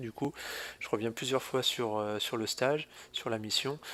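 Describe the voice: Fairly low male voice with a fairly bright tone, moderate pace and fairly even intonation.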